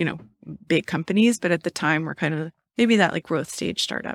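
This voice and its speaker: Fairly quick and fairly low-pitched, a woman talks with an American accent. The sound is dry and close with no echo, on a very clean recording with a silent background. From US West Coast, Los Angeles. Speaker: startup marketing expert. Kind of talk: interview conversation.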